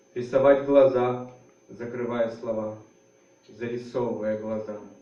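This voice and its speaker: At a moderate pace, the speaker talks in a monotone, flat way, with audible room echo. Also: man. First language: Russian. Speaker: writer. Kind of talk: literary reading; spoken introduction. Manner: halting, many fillers.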